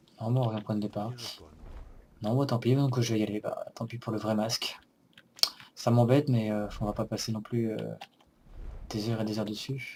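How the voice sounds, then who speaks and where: Over noticeable background noise, a man of medium pitch talks at a moderate pace in a monotone, flat intonation, taking long, frequent pauses. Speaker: let's play gamer. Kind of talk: gameplay commentary.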